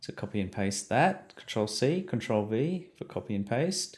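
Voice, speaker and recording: This man speaks with an Australian accent. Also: very clean recording, silent background. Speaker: science teacher. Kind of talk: tutorial. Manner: hesitant, many fillers.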